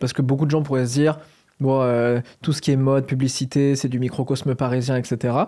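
Dark, mellow tone from a man at a fairly quick pace, with monotone, flat intonation, very even loudness, and a quiet background. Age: 30s. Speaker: video host. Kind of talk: casual chat. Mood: relaxed, thoughtful. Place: studio. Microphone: studio mic.

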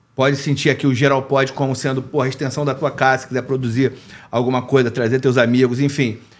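A man at a very fast pace with monotone, flat intonation. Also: medium pitch for a man. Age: 40s. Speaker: podcast host and print journalist; podcast host, print journalist. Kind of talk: casual interview chat. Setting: studio. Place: studio. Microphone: studio mic.

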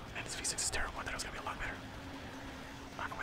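A man whispers at a very fast pace. Noticeable background noise sits behind him. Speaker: video game streamer. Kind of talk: casual talk to camera while playing a game. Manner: whispered, hushed.

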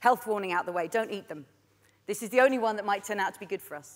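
A woman talking at a very fast pace, with ordinary pitch variation and a quiet background. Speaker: conference keynote speaker. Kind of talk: keynote talk. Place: stage.

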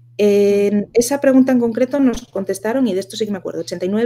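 A woman's dark, mellow tone. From Asturias, Spain. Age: 30s. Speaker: virtual assistant and community founder; podcast guest. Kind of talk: interview. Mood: relaxed, chatty. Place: home room.

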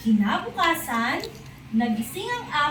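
There is noticeable background noise behind the speaker. A woman talks with a gentle tone. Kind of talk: bedtime storytelling, scripted narration with character voices. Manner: animated, expressive, changes voice for each character; gentle, slow and clear, child-friendly.

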